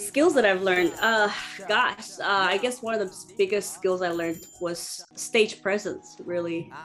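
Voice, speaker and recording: Against noticeable background noise, a woman speaks at a fairly slow pace and medium pitch, with ordinary pitch variation. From Zimbabwe. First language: Shona. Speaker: singer and percussionist. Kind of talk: interview.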